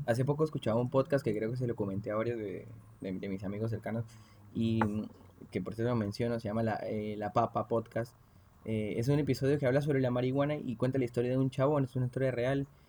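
A man with a medium pitch talks very fast, keeping his intonation fairly even. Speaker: podcast host. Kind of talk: casual chat. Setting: at a home.

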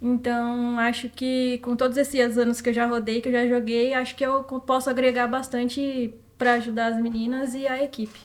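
A woman talks with hardly any pauses at a high pitch. Her intonation is monotone and flat. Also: moderate pace. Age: 20s. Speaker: professional footballer. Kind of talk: interview.

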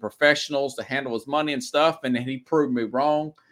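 In a Southern US accent, a man speaks at a moderate pace. His tone is bright and sharp. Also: very clean recording, silent background. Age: 40s. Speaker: sports talk show host. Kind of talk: solo sports talk show monologue.

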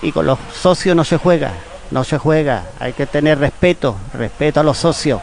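Against noticeable background noise, a man talks at a moderate pace. His voice is fairly high, with ordinary pitch variation. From Spain, Málaga. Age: 60s. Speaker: football club member, retired photographer. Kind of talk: radio interview. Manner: animated.

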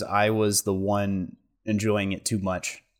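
At a fairly slow pace, a man with an American accent speaks in a normal speaking voice at medium pitch, on a very clean recording with a silent background. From southern Oregon. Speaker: podcast co-host, college student. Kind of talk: casual chat.

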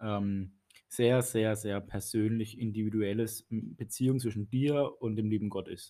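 A man speaks fairly slowly in a fairly low voice with a dark, mellow tone. His intonation stays fairly even. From Baden, southwestern Germany. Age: 30s. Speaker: church youth leader and priest. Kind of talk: casual chat.

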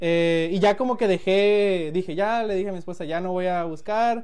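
Male speech pitched high, with ordinary variation in pitch. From Mexico, Culiacán, Sinaloa. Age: 20s. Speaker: tech company employee. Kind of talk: casual chat.

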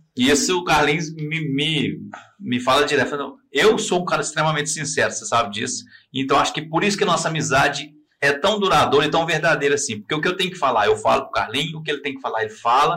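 Talking very fast, a man with a fairly high pitch and a bright, sharp tone uses ordinary pitch variation. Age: 40s. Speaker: podcast host. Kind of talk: casual chat. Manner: animated.

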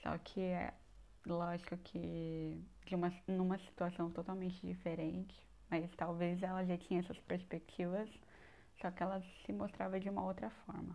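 With a dark, mellow tone and a fairly low pitch, a woman speaks at a moderate pace in a monotone, flat intonation. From Brazil, São Paulo north coast. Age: 20s. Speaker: podcast host, university student. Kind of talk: casual personal monologue.

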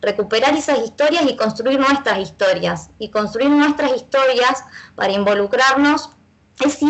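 The woman's voice sits high. Its pitch moves up and down in an ordinary way. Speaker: feminist football fan activist. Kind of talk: casual chat.

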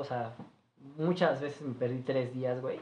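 A man with a Mexican accent, ordinary pitch variation and audible room echo. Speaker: restaurant manager. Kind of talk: casual chat.

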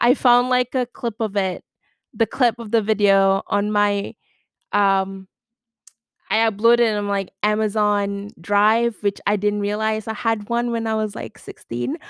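At a fairly slow pace, a woman with a fairly high pitch talks in a monotone, flat intonation, in dry, close sound with no echo and a very clean recording with a silent background. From Malaysia. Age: 20s. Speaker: podcast host. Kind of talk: casual monologue. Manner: hesitant, many fillers and restarts; laughs often.

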